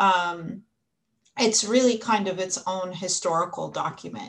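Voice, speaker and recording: A woman speaks at a fairly slow pace with an American accent, in an ordinary speaking voice. Her pitch sits in the medium range, with ordinary pitch variation. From United States. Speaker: history professor. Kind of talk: panel discussion.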